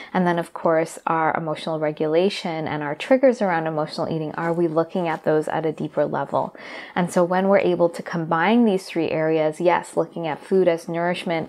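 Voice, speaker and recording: At a moderate pace, a woman talks with a fairly low pitch and fairly even intonation. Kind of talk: educational talk to camera. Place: home room.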